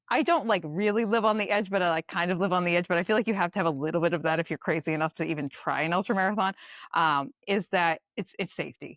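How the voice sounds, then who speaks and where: Dry and close with no echo, a woman with a Boston accent and a fairly low pitch speaks at a very fast pace in an animated tone, with ordinary pitch variation and very even loudness. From Boston, Massachusetts. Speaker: dietitian and ultramarathoner. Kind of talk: casual chat. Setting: podcast recording.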